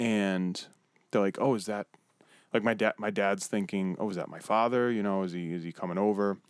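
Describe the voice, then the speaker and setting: A man speaks with a fairly low pitch. His pace is fairly quick. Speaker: podcast co-host. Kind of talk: casual chat. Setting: studio. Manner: animated.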